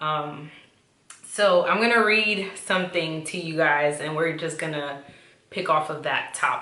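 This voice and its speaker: A woman's very deep, low voice at a fairly slow pace, with audible room echo. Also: ordinary pitch variation. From New York City (Bronx), Dominican-Honduran family. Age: 20s. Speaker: YouTuber. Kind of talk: casual chat.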